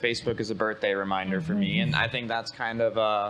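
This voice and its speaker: A man talks fairly quickly in an unremarkable speaking voice, keeping a medium pitch and ordinary pitch variation. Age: young. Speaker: real estate marketing trainer. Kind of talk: presentation to agents.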